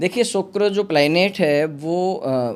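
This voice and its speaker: This man has a plain, everyday voice with lively intonation. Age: 40s. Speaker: astrologer. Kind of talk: podcast interview.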